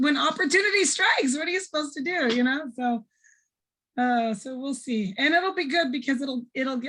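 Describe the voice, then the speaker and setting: Her intonation lively, the woman speaks at a moderate pace. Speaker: teacher and nutrition presenter. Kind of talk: casual talk. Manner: casual, off the cuff.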